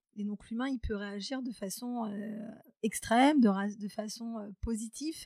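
A woman's somewhat breathy voice, dark and mellow in tone, fairly high in pitch, with fairly even intonation and a fairly slow pace. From France, Charente (rural). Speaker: HR and recruitment specialist. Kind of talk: interview. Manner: hesitant, many fillers.

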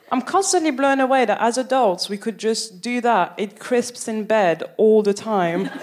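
With a French accent and a fairly high pitch, a woman talks at a moderate pace with hardly any pauses and ordinary pitch variation over noticeable background noise. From France, Paris. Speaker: stand-up comedian. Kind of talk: stand-up. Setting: stage with audience.

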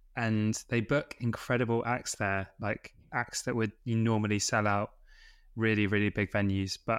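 On a very clean recording with a silent background, a man with a British accent talks at a moderate pace in a fairly low pitch. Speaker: podcast host. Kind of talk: interview chat.

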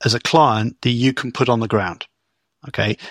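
A man with a British accent, medium pitch and fairly even intonation at a fairly quick pace, in a very clean recording with a silent background and a dry, close sound with no echo. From Britain. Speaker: business technology consultant. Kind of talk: interview.

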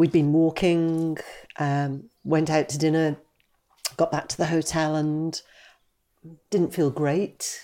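In a Geordie accent, the speaker talks at a very slow pace with a dark, mellow tone and monotone, flat intonation. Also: woman, very clean recording, silent background. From Newcastle upon Tyne, northeast England. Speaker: retired patient advocate. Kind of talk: panel discussion testimony.

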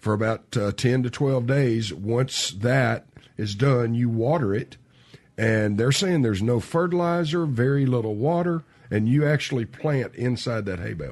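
A man with a Southern US accent speaks at a moderate pace. His pitch sits in the middle range, and his intonation is lively. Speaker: home builder. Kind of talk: casual radio chat.

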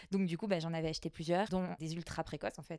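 Her tone dark and mellow, a woman with a fairly low pitch talks at a very fast pace with fairly even intonation. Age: 30s. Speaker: pharmacist. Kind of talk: casual chat. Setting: chalet bedroom recording.

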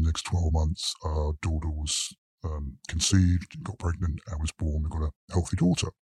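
Speaking with a British accent, a man has a somewhat breathy, dark, mellow tone, fairly even intonation and a moderate pace. The very clean recording is dry and close, with no echo and a silent background. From UK. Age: 50s. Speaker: lawyer. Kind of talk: interview testimony. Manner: halting.

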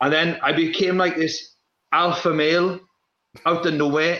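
A man speaks with a South Wales Valleys accent. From Wales, South Wales valleys. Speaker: professional athlete. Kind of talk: casual chat.

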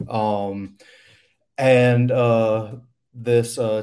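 A man with an American accent speaks at a fairly low pitch with ordinary pitch variation and a dark, mellow tone. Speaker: rock band member. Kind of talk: casual interview. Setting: video call.

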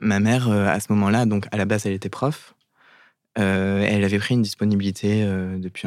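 On a very clean recording with a silent background, a man talks at a moderate pace in a fairly low, monotone, flat voice. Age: 20s. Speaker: content creator. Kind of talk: personal testimony in interview. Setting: studio.

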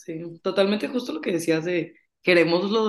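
A woman with an unremarkable speaking voice speaks at a moderate pace in a fairly low pitch. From Monterrey, Mexico. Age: 20s. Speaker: finance student. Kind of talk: casual chat.

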